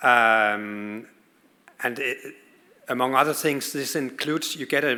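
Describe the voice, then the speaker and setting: Speaking with a Danish accent, a man uses a bright, sharp tone and fairly even intonation. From Denmark. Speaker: pediatric oncologist. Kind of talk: conference talk.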